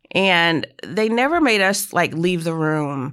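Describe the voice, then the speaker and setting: Captured in a very clean recording with a silent background, a woman talks in an ordinary speaking voice, fairly low in pitch with ordinary pitch variation. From North Carolina, rural farm town. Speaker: logistics company CEO. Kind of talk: interview.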